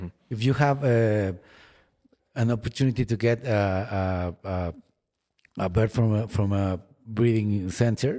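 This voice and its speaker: A man with a Spanish accent speaks in a dark, mellow tone at a fairly low pitch, leaving long, frequent pauses. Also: ordinary pitch variation. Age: 40s. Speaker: falconer. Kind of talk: interview. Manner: halting, many repeated words.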